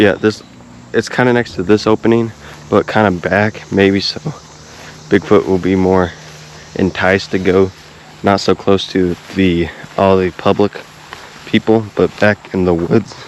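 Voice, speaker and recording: A man with an American accent speaks slowly in a fairly low monotone, with long, frequent pauses. Noticeable background noise runs behind him. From US Midwest, Kansas City area. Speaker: YouTuber, paranormal investigator. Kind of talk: casual vlog narration. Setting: outdoors in the woods. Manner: casual, rambling.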